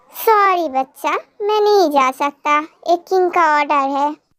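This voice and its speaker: A woman puts on a squeaky, high-pitched character voice at a moderate pace, her loudness very even and the sound dry and close with no echo. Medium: read story. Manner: blunt.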